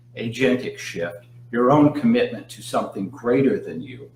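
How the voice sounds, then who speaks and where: Audible room echo and noticeable background noise surround this man as his pitch moves with ordinary variation. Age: 60s. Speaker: hypnotist. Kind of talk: live Q&A talk. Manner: frequent fillers and repetitions.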